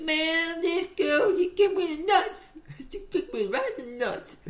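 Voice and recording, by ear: In a put-on character voice with a Southern US accent, the speaker talks at a moderate pace with extremely high pitch. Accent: Southern American.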